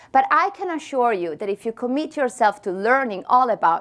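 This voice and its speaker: On a very clean recording with a silent background, a woman with an Italian accent speaks with lively intonation. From Italy. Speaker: tech company marketing leader. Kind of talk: conference presentation. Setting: stage with audience. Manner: animated.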